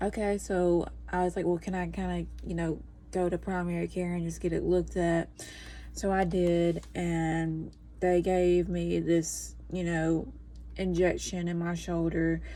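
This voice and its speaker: A woman speaks quietly. Her pace is fairly slow. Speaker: podcaster and new mother. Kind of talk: casual vlog chat. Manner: hushed, trying to be quiet; rambling with many fillers.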